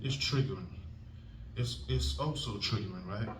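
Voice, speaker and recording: A man speaks with lively intonation. The room echo is audible, and so is noticeable background noise. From England. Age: 20s. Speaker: stand-up comedian. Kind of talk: stand-up. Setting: stage with audience. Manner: animated.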